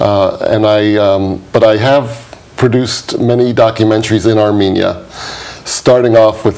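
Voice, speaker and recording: A man's fairly low, monotone, flat voice at very even loudness, over noticeable background noise. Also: moderate pace. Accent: New York. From New York, US. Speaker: documentary producer and activist. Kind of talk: interview.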